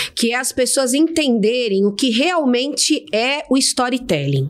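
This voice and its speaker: A woman's voice with very wide pitch swings. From São Paulo, Brazil. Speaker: storytelling specialist. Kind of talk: casual interview chat. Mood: warm, friendly. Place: studio. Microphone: studio mic.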